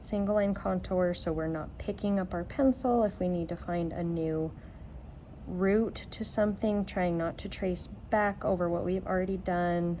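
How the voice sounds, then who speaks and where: With a plain, everyday voice, a woman speaks at a moderate pace and medium pitch, her intonation fairly even. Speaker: art teacher. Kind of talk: tutorial.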